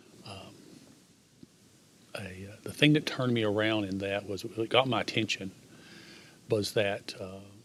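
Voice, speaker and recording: A man's fairly low pitch at a moderate pace, with fairly even intonation, big swings in loudness, and long, frequent pauses. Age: 60s. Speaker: church member sharing health story. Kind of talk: testimony. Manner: halting.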